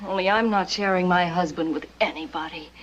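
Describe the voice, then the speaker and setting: Fairly quick, raspy put-on character voice from a woman at medium pitch. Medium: short film.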